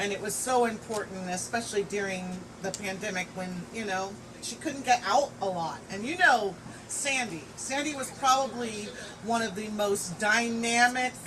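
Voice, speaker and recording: A woman with a fairly high pitch speaks at a moderate pace with ordinary pitch variation, over noticeable background noise and audible room echo. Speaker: friend giving a eulogy. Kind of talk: eulogy speech. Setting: memorial gathering at a home. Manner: loud.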